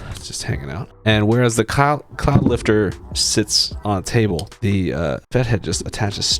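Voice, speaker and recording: Music plays behind a man who mumbles at a moderate pace with hardly any pauses. His pitch is fairly low but swings very widely, and his loudness shifts a lot. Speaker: tech reviewer. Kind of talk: tutorial. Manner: mumbling; halting.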